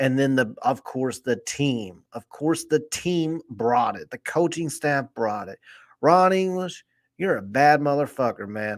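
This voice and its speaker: Speaking at a fairly slow pace, a man with a fairly high pitch uses lively intonation on a very clean recording with a silent background. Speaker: sports podcast host. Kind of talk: casual chat. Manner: subdued volume, keeping voice down.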